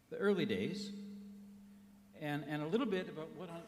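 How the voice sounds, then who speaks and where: A man's high voice in an American accent, with lively intonation, audible room echo and noticeable background noise. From United States. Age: old. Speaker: criminologist. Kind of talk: award lecture. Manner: halting.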